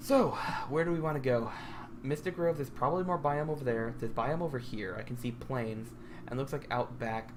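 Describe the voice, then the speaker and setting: Talking at a fairly quick pace with an American accent, a woman with a very deep, low pitch is heard amid audible room echo. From US Midwest, Michigan. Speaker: gaming video creator. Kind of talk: gameplay commentary. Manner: casual, halting.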